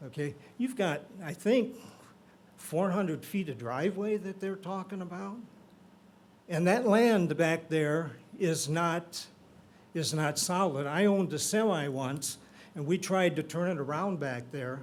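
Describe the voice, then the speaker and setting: Speaking with an American accent, the voice goes at a fairly slow pace with ordinary pitch variation and long, frequent pauses. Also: man, high pitch for a man. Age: 70s. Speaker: local resident speaking at public hearing. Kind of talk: public comment at zoning meeting.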